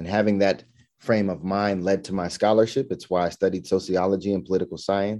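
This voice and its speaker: A man's very deep, low, dark and mellow voice at a very fast pace, with fairly even intonation over a quiet background. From Southern California. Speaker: state legislator. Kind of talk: personal introduction, prepared monologue.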